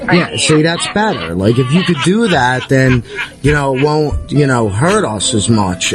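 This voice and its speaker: With music playing behind him, a man at a medium pitch speaks fairly slowly, his pitch swinging very widely. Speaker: comedy show host. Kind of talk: comedy bit. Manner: halting.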